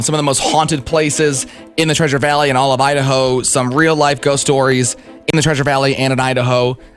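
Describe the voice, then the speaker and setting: Music plays in the background as a man speaks at a very fast pace with a fairly high pitch. His intonation is monotone and flat, and his loudness stays very even. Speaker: radio DJ. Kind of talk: morning radio show banter.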